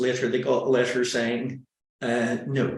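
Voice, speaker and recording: This man has a Northern Irish accent. His pace is fairly slow. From Northern Ireland. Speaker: webinar presenter. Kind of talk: webinar presentation.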